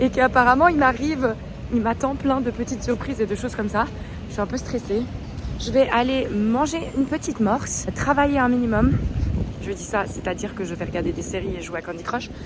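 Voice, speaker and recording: A woman with a high pitch talks at a fairly quick pace with ordinary pitch variation over noticeable background noise. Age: 30s. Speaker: vlogger and TV commentator. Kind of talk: casual vlog talk. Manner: chatty, animated.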